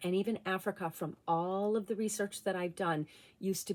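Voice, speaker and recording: In a very clean recording with a silent background, a woman with an American accent speaks at a medium pitch and moderate pace in an animated tone. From New England, US. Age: 50s. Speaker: vlogger. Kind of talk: casual monologue.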